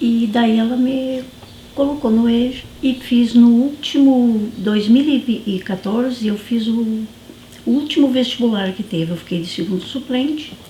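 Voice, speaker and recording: At a fairly slow pace, a woman with a fairly high pitch and ordinary pitch variation speaks over noticeable background noise. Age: 60s. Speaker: former student resident, university student. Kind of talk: documentary interview.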